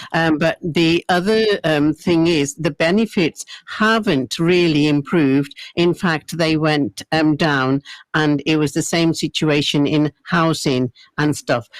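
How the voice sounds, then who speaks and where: Very deep, low female voice with very even loudness, ordinary pitch variation, and a dry, close sound with no echo. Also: fairly slow pace. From England. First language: Punjabi. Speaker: radio presenter. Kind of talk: radio interview. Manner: halting.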